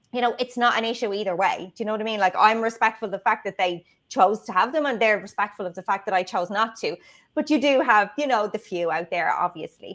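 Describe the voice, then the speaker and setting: In an Irish accent, a woman speaks very fast at a fairly high pitch with ordinary pitch variation, on a very clean recording with a silent background. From Ireland, Dublin. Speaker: video marketing strategist. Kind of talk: casual interview chat. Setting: livestream.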